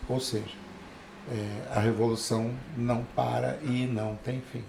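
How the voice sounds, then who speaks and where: A man's monotone, flat delivery at a very slow pace, with noticeable background noise and audible room echo. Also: medium pitch for a man. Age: 60s. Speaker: photographer and cinematographer. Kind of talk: casual interview chat.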